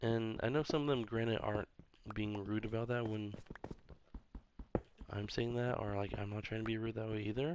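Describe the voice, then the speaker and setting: This man talks softly at a moderate pace and a medium pitch, with fairly even intonation. His speech has long, frequent pauses. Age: 30s. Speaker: gaming streamer. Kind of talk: casual live-stream chat while gaming. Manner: soft-spoken, quiet; casual, rambling with fillers.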